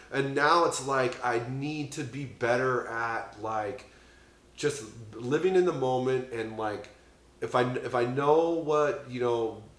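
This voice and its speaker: A man talks at a very slow pace, his pitch medium with ordinary variation. Room echo is audible. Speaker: podcast host in addiction recovery. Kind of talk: casual chat. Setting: on a couch at a friend's home. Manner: loud; halting, many fillers and restarts.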